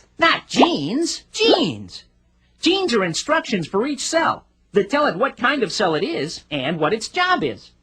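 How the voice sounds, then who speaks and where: A cartoonish character voice, fairly high in pitch, moves at a moderate pace with very wide pitch swings. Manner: showy, self-satisfied.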